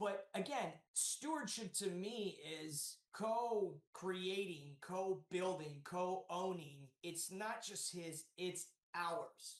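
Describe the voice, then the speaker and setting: Loud and energetic, a man with an American accent talks at a high pitch with ordinary pitch variation. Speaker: real estate developer. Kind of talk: podcast interview. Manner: loud, energetic.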